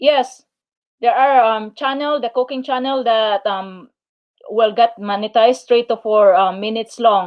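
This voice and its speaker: In a Filipino accent, a woman speaks at a fairly slow pace. Her voice sits at a fairly high pitch with ordinary pitch variation. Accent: Filipino accent, noticeable. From Philippines. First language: Filipino/Tagalog. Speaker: YouTuber. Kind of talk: live stream chat. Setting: live stream. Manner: halting, many fillers.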